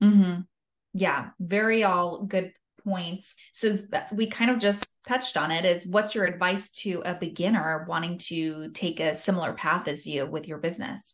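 In a plain, everyday voice, a woman of medium pitch talks at a moderate pace with ordinary pitch variation against a quiet background. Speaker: podcast host. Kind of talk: interview.

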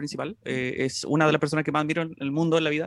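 Talking very fast, a man with a Chilean accent uses a fairly high pitch. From Chile, Santiago. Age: 20s. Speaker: music YouTuber. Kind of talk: casual chat.

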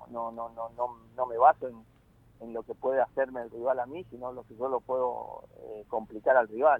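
His intonation monotone and flat, a man talks with big swings in loudness. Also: medium pitch for a man, moderate pace. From Argentina, northern Santa Fe province (Malabrigo). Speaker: football coach. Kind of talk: interview. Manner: halting, many fillers.

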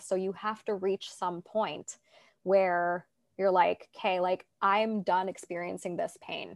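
In an ordinary speaking voice, a woman with a Canadian accent speaks at a moderate pace, recorded very cleanly against a silent background with a dry, close sound and no echo. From Toronto, Canada. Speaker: life coach and podcast host. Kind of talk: casual interview chat.

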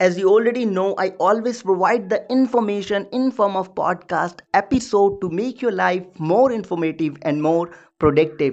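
This man speaks with an Indian accent at a high pitch and a moderate pace, with hardly any pauses and ordinary pitch variation. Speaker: podcast host, sales coach. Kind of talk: solo podcast tutorial.

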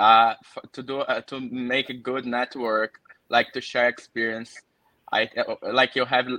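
A man with a Portuguese accent speaks at a medium pitch in a monotone, flat intonation. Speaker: engineer. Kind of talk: casual chat.

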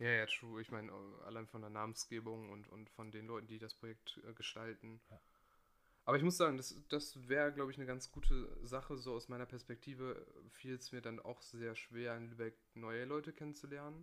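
A man's medium-pitched, bright, sharp voice at a fairly quick pace, with fairly even intonation and big swings in loudness. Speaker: podcast host. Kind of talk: casual chat.

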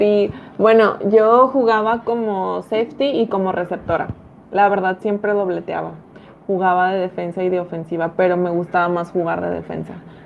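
A woman with a Mexican accent talks at a moderate pace. Her pitch is medium and her intonation fairly even. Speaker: American football commentator. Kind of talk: casual sports podcast discussion.

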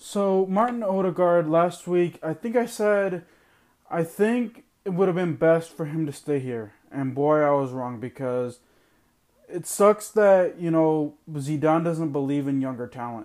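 Fairly slow and lively in intonation, a man speaks at a high pitch. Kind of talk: angry rant. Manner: exasperated, heated, ranting with sarcastic disbelief; self-mocking, fed-up and loud-sounding, losing patience.

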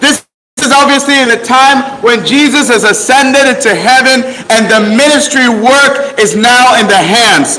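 A man's raised, projected voice at an extremely high pitch, with noticeable background noise. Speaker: preacher. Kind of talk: sermon. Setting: stage with audience. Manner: animated.

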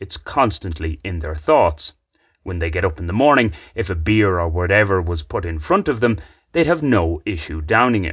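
With an Irish accent and lively intonation, the speaker goes at a moderate pace over a quiet background. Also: man. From Ireland. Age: 30s. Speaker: podcaster, writer. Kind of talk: scripted narration.

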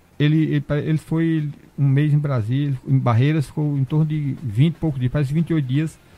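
A somewhat breathy, dark, mellow voice with fairly even intonation. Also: man, fairly high pitch for a man, moderate pace. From Brazilian Northeast. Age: 60s. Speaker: cordel poet. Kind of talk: casual chat.

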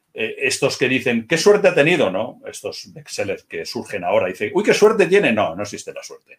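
A man talking at a fairly quick pace. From Spain, Barcelona area (Murcian parents). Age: 50s. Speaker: crime novelist and former police officer. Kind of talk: interview.

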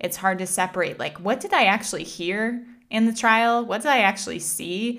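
Recorded very cleanly against a silent background, a woman speaks at medium pitch and a moderate pace with ordinary pitch variation. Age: 30s. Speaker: podcast host. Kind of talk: casual monologue.

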